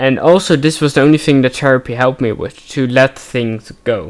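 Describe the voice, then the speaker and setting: Here a man speaks with a medium pitch. His pitch variation is ordinary. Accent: Dutch. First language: Dutch. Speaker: gaming streamer. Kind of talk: let's play commentary with personal reflection. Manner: halting.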